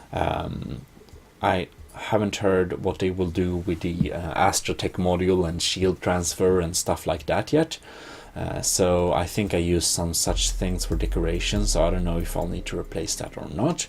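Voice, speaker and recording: A man with a Swedish accent speaks at a very deep, low pitch and a moderate pace. His pitch variation is ordinary, and there is noticeable background noise. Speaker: gaming video host. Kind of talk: let's play commentary. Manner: halting, many fillers.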